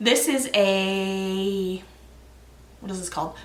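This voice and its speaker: With a Canadian accent, a woman speaks at a very slow pace and a medium pitch. Noticeable background noise and audible room echo fill the recording. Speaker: knitting podcaster. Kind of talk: casual chat.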